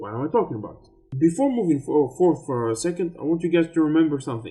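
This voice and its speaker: Lively intonation from a man with a fairly high voice, plus background music. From Tunisia. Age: 30s. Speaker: YouTube commentator. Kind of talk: explainer video.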